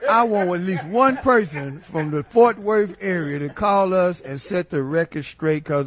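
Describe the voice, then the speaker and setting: A man's speech moves at a moderate pace, his intonation lively. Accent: Southern US. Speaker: radio co-host. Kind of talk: casual chat; radio hosting.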